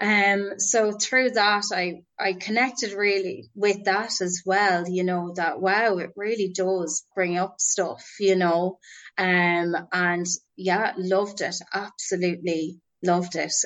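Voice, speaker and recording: A woman with an Irish accent at a medium pitch, very slow and monotone, flat in intonation. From Ireland, Roscommon (Boyle). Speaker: drama therapist. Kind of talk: casual interview. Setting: podcast interview.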